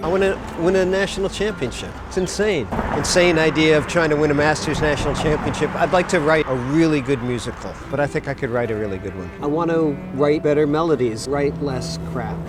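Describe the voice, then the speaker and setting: Someone with an American accent talks at a fairly quick pace with lively intonation. Music plays in the background, and room echo is audible. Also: man, fairly high pitch for a man. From New Jersey. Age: 60s. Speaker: musician. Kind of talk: documentary interview. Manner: reflective.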